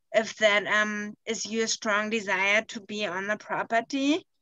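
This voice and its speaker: A woman speaks with a German accent in a bright, sharp tone. The sound is dry and close with no echo. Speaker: conservation specialist presenting a workshop. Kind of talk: online workshop discussion. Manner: halting, many fillers.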